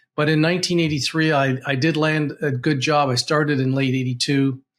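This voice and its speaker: At a fairly quick pace, a man speaks in a somewhat breathy voice with fairly even intonation. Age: 60s. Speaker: financial advisor. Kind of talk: tutorial. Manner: halting.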